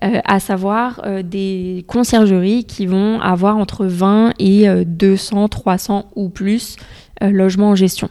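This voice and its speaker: A woman's dark, mellow tone stays flat and monotone throughout. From Paris suburbs, France (Essonne). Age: 20s. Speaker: company country director. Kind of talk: interview conversation.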